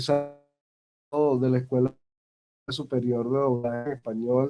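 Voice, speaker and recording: Music plays in the background while a man speaks. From Venezuela. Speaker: voice actor and acting teacher. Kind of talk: interview. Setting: video call. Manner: formal. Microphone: dropping connection.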